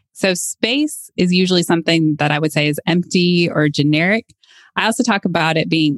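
A woman's fairly low-pitched, a plain, everyday voice, with ordinary pitch variation and a dry, close sound with no echo. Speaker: podcast host. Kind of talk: casual conversational podcast discussion.

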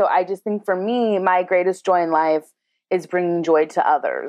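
A woman has an unremarkable speaking voice at medium pitch. She keeps a moderate pace and fairly even intonation. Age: 30s. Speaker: comedian and tour guide. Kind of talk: casual chat.

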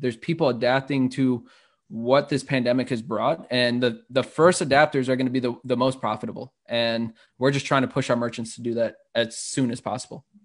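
A man speaks at a fairly quick pace in an American accent, with a medium pitch. It is an ordinary speaking voice over a quiet background. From Chicago (Humboldt Park). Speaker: startup entrepreneur. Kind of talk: interview.

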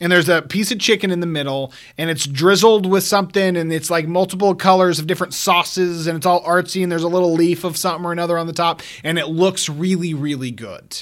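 A high-pitched man at a very fast pace, with hardly any pauses and fairly even intonation. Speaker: movie podcast host. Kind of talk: casual banter, movie discussion.

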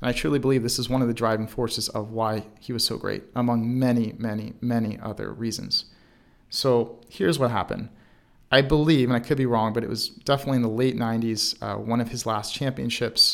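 In an American accent, a man uses an ordinary speaking voice at a medium pitch with fairly even intonation. He talks at a fairly quick pace in a very clean recording with a silent background. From Baltimore, Maryland. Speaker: sports mental performance coach. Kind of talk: solo podcast monologue.

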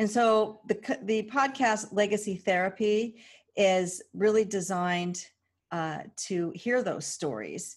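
A woman with a West Coast accent, medium-pitched, at a very slow pace, with ordinary pitch variation and a quiet background. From California. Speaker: podcast host, financial advocate. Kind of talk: casual monologue.

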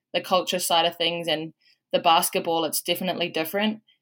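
A woman with a New Zealand accent speaks in a fairly low, bright, sharp voice with ordinary pitch variation. The recording is very clean, with a silent background. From New Zealand, Waikato. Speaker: college basketball player. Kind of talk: casual interview.

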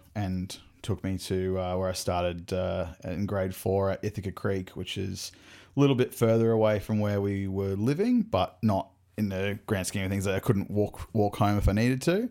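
With an Australian accent, a man speaks at a moderate pace in a fairly low pitch with a dark, mellow tone. His intonation stays fairly even on a very clean recording with a silent background. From Brisbane, Australia. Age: 30s. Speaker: podcast host. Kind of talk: casual chat.

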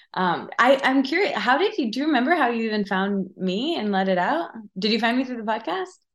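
A woman with an American accent, fairly high-pitched, with very wide pitch swings. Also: fairly quick pace. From US Midwest, Michigan small town. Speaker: podcast host and wellness writer. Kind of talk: casual chat. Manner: animated.

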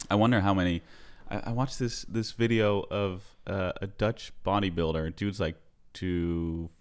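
The recording is very clean, with a silent background. A man speaks in a fairly low pitch with ordinary pitch variation. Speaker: podcast host. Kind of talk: casual interview chat. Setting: guest's home.

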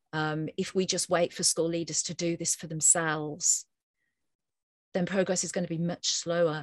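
A woman's fairly low, monotone, flat voice in a British accent, over a quiet background. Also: moderate pace, dry, close sound with no echo. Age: 50s. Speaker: researcher on teacher wellbeing. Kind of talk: interview.

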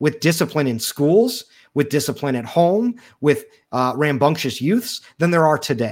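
On a very clean recording with a silent background, a man with a fairly high pitch speaks in very wide pitch swings. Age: 30s. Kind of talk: casual chat.

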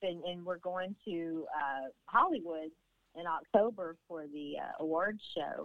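A Southern US accent at a fairly slow pace, with ordinary pitch variation and big swings in loudness. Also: woman, fairly low pitch for a woman. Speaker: therapy dog handler and dog owner. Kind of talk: casual interview. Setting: phone call. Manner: warm, chatty, laughs often.

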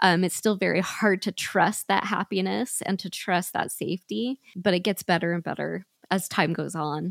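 Recorded dry and close with no echo against a silent background in a very clean recording, a woman with vocal fry speaks at medium pitch and a moderate pace, with ordinary pitch variation and hardly any pauses. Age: 40s. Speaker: small business owner. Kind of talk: interview testimony.

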